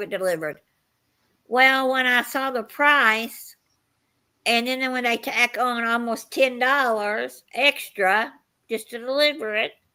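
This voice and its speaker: A high, bright, sharp female voice with ordinary pitch variation on a very clean recording with a silent background. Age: 60s. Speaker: live stream host. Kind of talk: casual chat.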